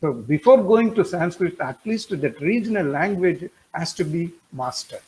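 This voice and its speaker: A man speaks with a Tamil accent at a moderate pace. His pitch swings very widely. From India, Tamil Nadu. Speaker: webinar participant. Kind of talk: webinar discussion comment. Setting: online webinar. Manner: hesitant, with fillers.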